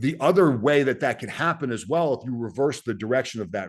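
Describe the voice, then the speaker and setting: A man with a Boston accent, medium pitch, lively intonation and a moderate pace, over a quiet background. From US Northeast, Boston. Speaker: Green Beret soldier and author. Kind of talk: podcast interview.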